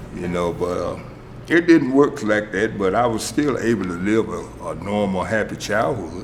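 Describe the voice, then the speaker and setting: A man speaks at a moderate pace in a fairly low pitch. Noticeable background noise and audible room echo fill the recording. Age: 70s. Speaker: former addict in recovery program. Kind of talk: testimony.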